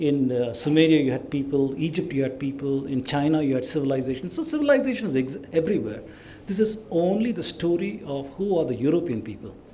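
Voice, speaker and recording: Talking at a very fast pace, a man uses lively intonation and a fairly high pitch. Audible room echo and noticeable background noise fill the recording. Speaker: lecturer on ancient history. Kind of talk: lecture.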